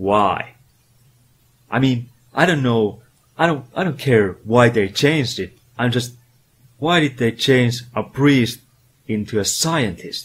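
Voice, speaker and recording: A man speaks at a very slow pace, with long, frequent pauses and ordinary pitch variation. His voice is somewhat breathy. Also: medium pitch for a man. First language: not English. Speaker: retro game reviewer. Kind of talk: comedic video game review narration. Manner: animated.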